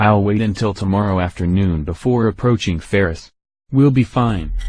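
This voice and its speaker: Putting on a character voice, a man speaks at a fairly low pitch. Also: moderate pace, quiet background. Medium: machinima.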